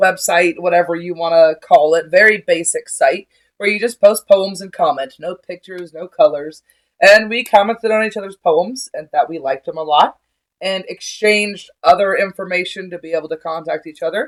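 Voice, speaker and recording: A woman's plain, everyday voice at medium pitch, with ordinary pitch variation and big swings in loudness. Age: 30s. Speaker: podcast co-host. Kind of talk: casual chat. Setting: at home.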